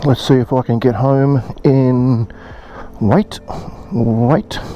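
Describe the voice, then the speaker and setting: A man speaks at a very slow pace, with very even loudness and ordinary pitch variation. Noticeable background noise runs throughout. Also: medium pitch for a man. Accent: Australian. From Australia. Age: 50s. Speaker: motorcycle vlogger. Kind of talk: casual vlog monologue.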